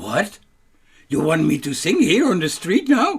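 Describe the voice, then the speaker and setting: In a put-on character voice, a man talks at a moderate pace and high pitch. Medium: read story.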